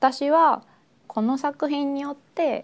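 A woman speaks at a very slow pace. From Japan (Osaka). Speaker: artist. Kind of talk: artist commentary.

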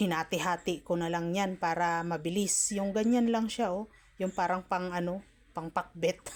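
A normal speaking voice, moderately paced, its intonation fairly even. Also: woman, fairly low pitch for a woman. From Philippines. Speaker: cooking vlogger. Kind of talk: casual cooking tutorial. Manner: chatty, frequent laughter.

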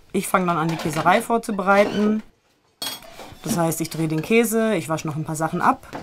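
A woman at a moderate pace with a fairly low pitch, music in the background. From Germany. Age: 20s. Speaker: alpine dairymaid and cheesemaker. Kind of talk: documentary interview.

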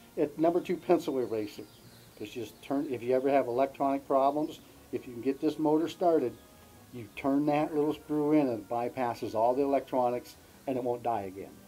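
Faint music plays behind a man who talks at a fairly quick pace, his loudness swinging widely. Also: ordinary pitch variation. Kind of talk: interview storytelling. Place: garden.

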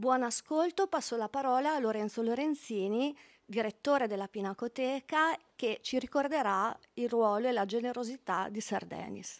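This woman has a high voice with ordinary pitch variation. She speaks at a moderate pace over a quiet background. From Italy. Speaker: study centre president. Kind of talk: formal event introduction. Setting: stage with audience. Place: hall. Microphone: podium.

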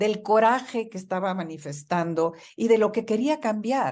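The delivery moves at a fairly slow pace with lively intonation. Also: woman. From Mexico. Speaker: market research executive; interview guest. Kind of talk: radio interview. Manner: animated. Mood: earnest, moved. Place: home room. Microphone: video call.

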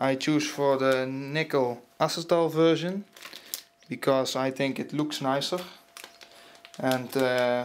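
A man with a non-native accent talks with ordinary pitch variation over light background noise. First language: not English. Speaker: PC hardware hobbyist. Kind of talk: casual unboxing narration. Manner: hesitant, many filler sounds. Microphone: phone near.

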